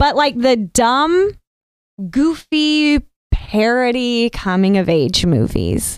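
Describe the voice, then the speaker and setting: A woman with an American accent speaks at a very slow pace and a high pitch. Her pitch swings very widely while her loudness stays very even. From US South, coastal North Carolina. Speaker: actress and model. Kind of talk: casual chat.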